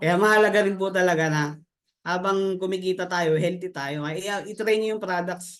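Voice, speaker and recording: A man at a high pitch and moderate pace, his intonation fairly even. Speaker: network marketing member, former overseas worker. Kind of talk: testimony. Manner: halting.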